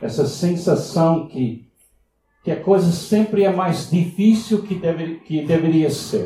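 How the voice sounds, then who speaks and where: Audible room echo surrounds a man with a high pitch. He speaks at a very slow pace with ordinary pitch variation. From US, Miami. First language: English (speaking Portuguese). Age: 70s. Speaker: visiting pastor. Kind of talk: sermon. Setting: church. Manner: halting.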